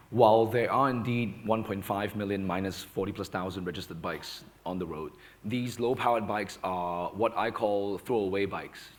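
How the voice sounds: A man's fairly low voice at a fairly slow pace, with ordinary pitch variation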